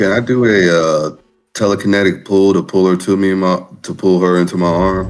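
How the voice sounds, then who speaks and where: Music plays behind a man with a very deep, low pitch. His delivery is monotone and flat, at a fairly quick pace. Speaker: tabletop game player. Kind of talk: casual chat.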